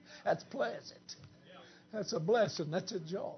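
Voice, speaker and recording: A man talks with an American accent and lively intonation. There is audible room echo. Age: 50s. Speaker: preacher. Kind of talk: camp meeting sermon, Pentecostal holiness style, with banter at the congregation. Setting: church camp meeting with congregation. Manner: animated, joking crowd interplay with laughter.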